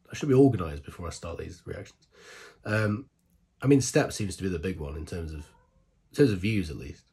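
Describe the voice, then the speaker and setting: A man talks at a very fast pace in a very deep, low voice with a dark, mellow tone, somewhat breathy, with very wide pitch swings, big shifts in loudness, and long, frequent pauses. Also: very clean recording, silent background. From Britain. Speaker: K-pop reaction YouTuber. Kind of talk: casual monologue to camera. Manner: animated.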